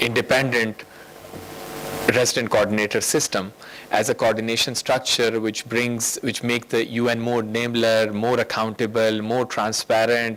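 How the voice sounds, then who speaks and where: Medium-pitched male speech at a moderate pace, with monotone, flat intonation, very even loudness and noticeable background noise. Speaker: UN official giving a speech. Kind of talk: conference speech. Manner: halting, many fillers.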